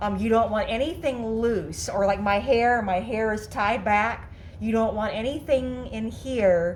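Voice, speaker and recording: In a room with audible echo, a woman speaks at a fairly slow pace with a fairly high pitch and ordinary pitch variation. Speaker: DIY workshop presenter. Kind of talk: tutorial. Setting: garage workshop. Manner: loud; halting, many fillers.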